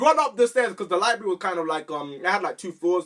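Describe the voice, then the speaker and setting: Loud and animated, a man talks in a bright, sharp tone. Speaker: YouTuber. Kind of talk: storytelling vlog.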